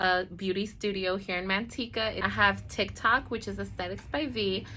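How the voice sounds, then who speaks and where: Mumbling at a medium pitch, a woman speaks with a bright, sharp tone. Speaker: esthetician and beauty vlogger. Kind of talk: casual storytime vlog. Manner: talkative, mumbling.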